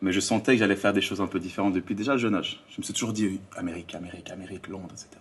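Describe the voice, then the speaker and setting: A man with a fairly low pitch rushes along at a very fast pace with hardly any pauses, keeping his intonation fairly even while his loudness swings widely. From Switzerland, Lausanne area (Vaud). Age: 30s. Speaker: influencer and life coach. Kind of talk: podcast interview.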